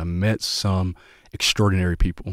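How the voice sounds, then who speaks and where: A man with a Southern US accent speaks at a very deep, low pitch with fairly even intonation. The recording is very clean, with a silent background and a dry, close sound with no echo. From US South, Waycross, Georgia. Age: 20s. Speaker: pastor. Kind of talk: casual chat.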